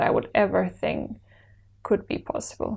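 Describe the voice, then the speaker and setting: A woman talks at a moderate pace. She has a Czech accent. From Czech Republic, Brno. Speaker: actor. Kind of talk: interview.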